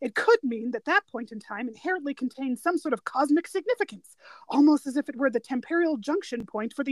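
A woman's high-pitched, lively voice at a fairly quick pace, with hardly any pauses and a dry, close sound with no echo. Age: 30s. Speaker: podcast co-host. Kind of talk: casual chat.

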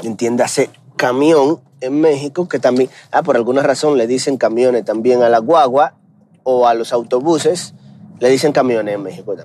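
A man with a Dominican accent, medium-pitched, dark and mellow in tone, at a moderate pace with ordinary pitch variation. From Dominican Republic. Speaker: podcaster. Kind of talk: casual monologue. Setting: in a car.

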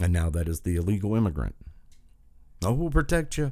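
In an Appalachian accent, a man talks at a fairly quick pace on a very clean recording with a silent background. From southern West Virginia. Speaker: political podcast host. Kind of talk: political rant monologue. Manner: animated.

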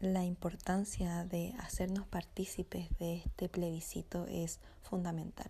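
Her loudness very even, a woman speaks at a fairly slow pace. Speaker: podcast co-host, political scientist. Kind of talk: casual chat.

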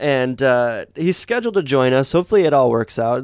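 Over a silent background in a very clean recording, a man speaks very fast at medium pitch. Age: 30s. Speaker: podcast co-host. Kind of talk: casual chat.

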